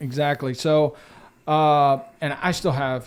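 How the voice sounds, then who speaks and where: A man with a Texan accent and a fairly high pitch, in a very clean recording with a silent background. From West Central Texas. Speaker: real estate agent. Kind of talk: podcast interview.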